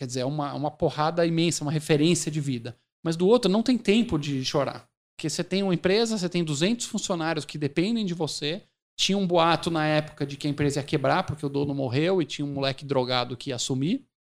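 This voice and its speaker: Very fast and fairly high-pitched, a man speaks with ordinary pitch variation on a very clean recording with a silent background. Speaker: company CEO. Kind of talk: interview.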